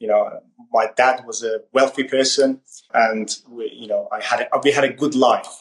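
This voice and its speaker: With an Iranian accent, a man talks at a moderate pace as his loudness swings widely. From Iran (Tehran). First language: Farsi. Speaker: podcast host. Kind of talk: interview. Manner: halting.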